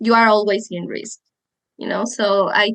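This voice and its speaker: With a Spanish accent, a woman speaks at a fairly slow pace in a fairly high pitch with fairly even intonation, the sound dry and close with no echo. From Mexico. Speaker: psychologist and sex educator. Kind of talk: podcast interview.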